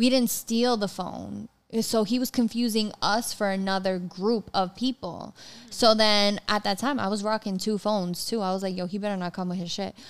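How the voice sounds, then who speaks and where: A woman with an American accent speaks at a moderate pace in an ordinary speaking voice with fairly even intonation, on a very clean recording with a silent background. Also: medium pitch for a woman. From New York City. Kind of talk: casual chat.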